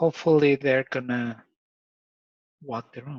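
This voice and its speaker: A man speaks with an Ecuadorian accent. His intonation is fairly even. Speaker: father sharing parenting experience. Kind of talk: casual interview chat.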